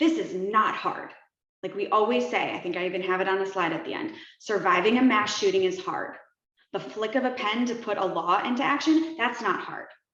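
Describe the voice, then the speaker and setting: Pitch swinging very widely, a woman talks fairly quickly at medium pitch amid audible room echo. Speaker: activist group founder. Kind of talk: online town hall chat. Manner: fast.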